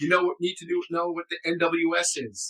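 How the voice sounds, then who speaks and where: A man's high pitch and bright, sharp tone, ordinary pitch variation, and a dry, close sound with no echo. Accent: American. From New York City. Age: 60s. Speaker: former intelligence officer, advocacy group director. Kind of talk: interview. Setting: podcast recorded live.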